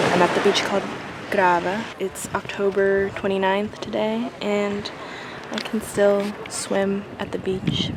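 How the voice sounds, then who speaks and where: A woman speaks at a medium pitch and a fairly slow pace in a flat monotone. Noticeable background noise runs underneath. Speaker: vlogger. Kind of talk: casual vlog narration. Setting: outdoors walking around town; outdoors at the beach.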